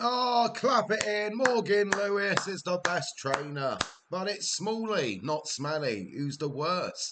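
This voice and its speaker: Lively intonation at a very slow pace, with a Welsh accent. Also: man, high pitch for a man. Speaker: gaming live streamer. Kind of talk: live gameplay commentary. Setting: live stream. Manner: quieter than usual, concentrating.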